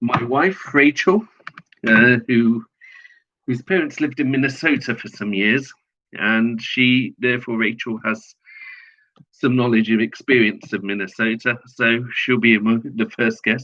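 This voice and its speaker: A man with a British accent speaks at a fairly slow pace in a medium pitch with a bright, sharp tone. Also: ordinary pitch variation. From Britain. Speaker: online political commentator. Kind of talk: promotional announcement. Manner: halting.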